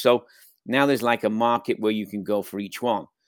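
A man with a Scouse accent talks at a fairly quick pace in a dry, close sound with no echo. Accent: Scouse, Liverpool English. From Liverpool area, England. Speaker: soccer coach. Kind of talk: casual interview.

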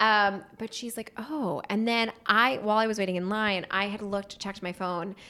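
Speaking at a moderate pace with hardly any pauses, a woman with an American accent has a bright, sharp tone and fairly even intonation, recorded very cleanly against a silent background. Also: medium pitch for a woman. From US Northeast, Pennsylvania near Philadelphia. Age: 30s. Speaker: screenwriter and actress. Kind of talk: casual interview chat.

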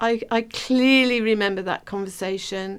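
A woman speaks with fairly high pitch, a clear, smooth tone and fairly even intonation.

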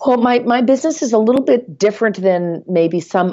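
A woman with an American accent. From Nashville, Tennessee. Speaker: real estate agent. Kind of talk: casual interview.

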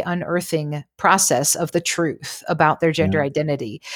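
A plain, everyday voice at a fairly quick pace, with ordinary pitch variation and a dry, close sound with no echo. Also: woman. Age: 40s. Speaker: mental health counselor, guest expert. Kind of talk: casual interview chat.

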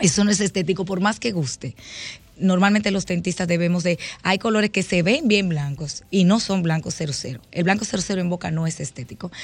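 Speaking at a moderate pace, a woman uses a medium-pitched, somewhat breathy voice with ordinary pitch variation. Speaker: dentist. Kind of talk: radio interview.

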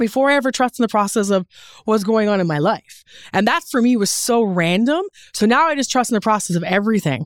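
A woman's fairly high voice, very fast with lively intonation and very even loudness, on a dry, close recording with no echo and a very clean, silent background. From Newfoundland, Canada. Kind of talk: casual interview chat. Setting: studio.

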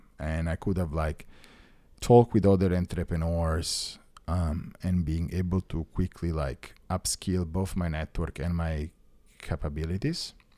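Very deep, low male voice with an Italian accent, dark and mellow in tone, at a fairly slow pace with fairly even intonation, on a very clean recording with a silent background and a dry, close sound with no echo. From Italy, Rome. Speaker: tech founder. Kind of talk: casual chat.

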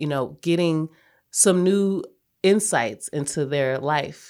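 A woman's unremarkable speaking voice, fairly low in pitch with lively intonation, in a very clean recording with a silent background. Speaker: podcast host. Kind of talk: interview.

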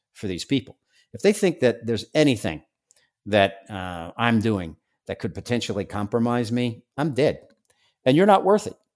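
Over a silent background on a very clean recording, a man in a normal speaking voice talks at medium pitch with lively intonation and big swings in loudness. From New York, Staten Island. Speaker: former undercover drug agent. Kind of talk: interview.

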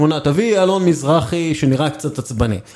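A man speaks at a moderate pace. His tone is dark and mellow. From northern Israel. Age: 40s. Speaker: sports journalist. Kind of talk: casual interview.

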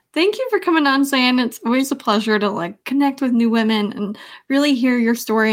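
In a very clean recording with a silent background, a woman talks at a very fast pace with ordinary pitch variation. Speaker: podcast host and entrepreneur. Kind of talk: interview conversation.

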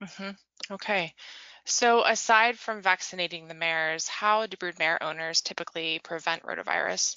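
A woman talks in an unremarkable speaking voice, pitched fairly low, with ordinary pitch variation and a moderate pace. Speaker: podcast host and magazine editor. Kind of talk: interview, scripted intro.

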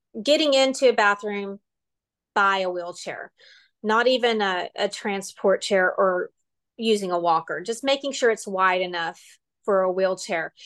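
A woman with a Texan accent at medium pitch, moderate pace and ordinary pitch variation, over a quiet background. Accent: Texan US Southern. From West Texas, near Lubbock. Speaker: occupational therapist. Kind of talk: interview.

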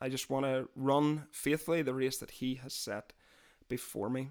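The recording of a man with a Northern Irish accent is very clean, with a silent background. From Northern Ireland, near Londonderry. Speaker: podcast host. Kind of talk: casual chat.

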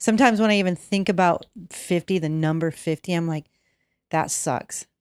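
Ordinary rise and fall in pitch, an unremarkable speaking voice from a woman, and a tempo neither fast nor slow. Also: very clean recording, silent background. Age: 50s. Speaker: podcast co-host. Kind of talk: casual chat.

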